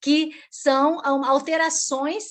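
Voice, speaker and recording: The background is quiet. A woman speaks in a high pitch. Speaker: environmental law speaker. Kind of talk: online lecture presentation. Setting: live stream webinar. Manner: halting with many fillers.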